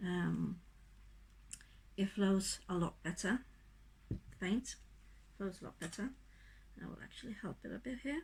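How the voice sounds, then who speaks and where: The speaker keeps a moderate pace, with big swings in loudness and long, frequent pauses. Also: woman. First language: not English. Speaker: acrylic pour artist. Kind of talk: tutorial demonstration. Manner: casual, halting.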